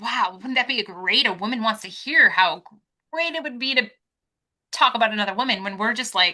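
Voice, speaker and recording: Loud and fairly quick, a woman speaks at a fairly high pitch with a bright, sharp tone and lively intonation. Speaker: podcast co-host. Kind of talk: casual chat.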